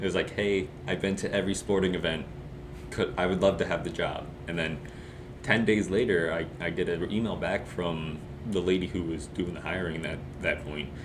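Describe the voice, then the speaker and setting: In a room with audible echo, a man talks at a moderate pace with a very deep, low pitch and fairly even intonation. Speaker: student sports announcer. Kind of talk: casual chat.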